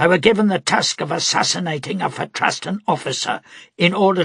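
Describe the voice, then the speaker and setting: Putting on a character voice, a man sounds raspy and strained as he talks at a moderate pace. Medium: read story. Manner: low, strained.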